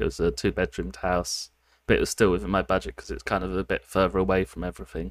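On a very clean recording with a silent background and a dry, close sound with no echo, a man with a fairly low pitch and vocal fry speaks with lively intonation. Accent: British. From United Kingdom. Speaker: programmer. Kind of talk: casual chat.

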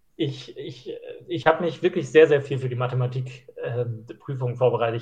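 Somewhat breathy, a man speaks at medium pitch. His pace is fairly quick. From Schleswig-Holstein, northern Germany. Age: 20s. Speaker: trainee pastor. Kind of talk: casual chat.

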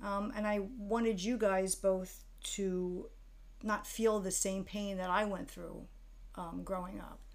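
In a room with audible echo, a woman talks very slowly at a medium pitch, her intonation monotone and flat. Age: 50s. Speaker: mother of the host, aspiring screenwriter. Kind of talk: casual chat.

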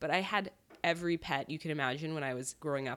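A woman with an American accent talks at a fairly quick pace in a very deep, low pitch with ordinary pitch variation. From US Northeast, southern Connecticut. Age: 30s. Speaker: beauty company founder. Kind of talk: casual interview. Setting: home kitchen.

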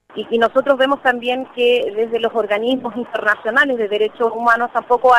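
Amid noticeable background noise, a woman with a high pitch talks at a moderate pace with fairly even intonation. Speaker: trade union representative. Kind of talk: interview statement.

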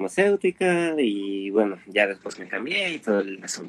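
Speech comes at a fairly slow pace in a central Mexican accent, with lively intonation. The sound is dry and close, with no echo. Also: man. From Mexico City. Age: 20s. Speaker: chemist and science meme creator. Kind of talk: casual interview chat.

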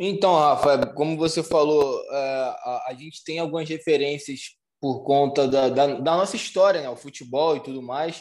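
At a fairly slow pace and with hardly any pauses, a man speaks in a normal speaking voice, fairly high in pitch, with ordinary pitch variation and big swings in loudness. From Rio de Janeiro, Brazil. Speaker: chef. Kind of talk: interview.

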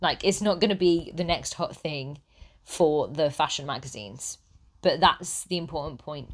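In a British accent, a woman with a very deep, low pitch speaks with ordinary pitch variation and big swings in loudness. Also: very clean recording, silent background. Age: 30s. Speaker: style consultant podcaster. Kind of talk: solo podcast monologue. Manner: conversational, occasional laughs.

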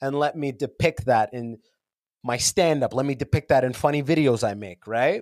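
A man with a Canadian accent speaks at a moderate pace in a plain, everyday voice, his medium pitch showing ordinary variation, recorded with a dry, close sound and no echo. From Canada, London, Ontario. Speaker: podcaster and comedian. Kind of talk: casual interview chat. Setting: remote call from a basement.

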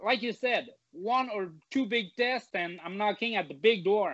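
A man with a Quebec accent. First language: French. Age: 20s. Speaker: mixed martial arts fighter. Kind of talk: casual interview.

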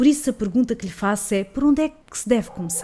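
A woman speaks in a European Portuguese accent with a dark, mellow tone. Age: 30s. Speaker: podcast host, journalist. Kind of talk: interview.

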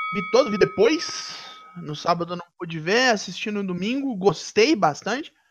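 Moderately paced male speech, high in pitch, with lively intonation. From Brazil, Minas Gerais. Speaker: wrestling podcast panelist. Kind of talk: casual chat.

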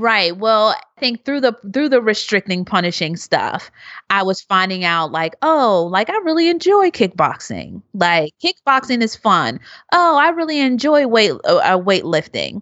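Speaking at a fairly slow pace with a Philadelphia accent, a woman uses a fairly high pitch and very wide pitch swings. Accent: Philadelphia American. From Philadelphia, US. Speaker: researcher and activist. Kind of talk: interview.

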